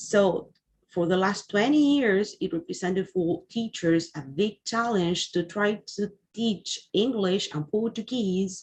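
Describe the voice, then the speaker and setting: A woman's somewhat breathy, medium-pitched voice with ordinary pitch variation against a quiet background. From Uruguay. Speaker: English teacher. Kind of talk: webinar presentation. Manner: halting, with fillers.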